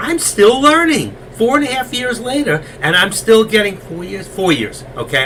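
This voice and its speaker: Through noticeable background noise, a man with a New York accent speaks at a fairly slow pace. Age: 60s. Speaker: stock trading educator. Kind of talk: live trading stream chat.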